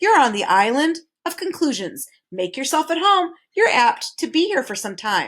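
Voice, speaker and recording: A woman puts on a character voice, pitched extremely high, swooping through very wide pitch swings at a moderate pace. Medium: read story. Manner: shifting wildly from mood to mood.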